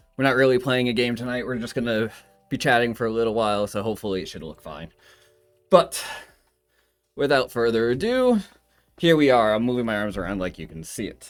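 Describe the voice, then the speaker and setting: With music in the background, a man speaks at a fairly quick pace in a medium pitch, leaving long, frequent pauses, with big swings in loudness and ordinary pitch variation. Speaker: vtuber streamer. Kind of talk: casual live stream chat. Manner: fast, nervous talker; stumbling over words.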